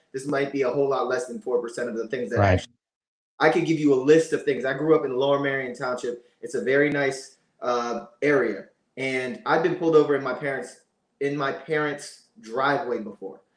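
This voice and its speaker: Fairly quick speech from a man rings with audible echo from the room. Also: ordinary pitch variation, quiet background. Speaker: remote podcast guest. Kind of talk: interview answer. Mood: earnest, measured. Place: home room. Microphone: video call.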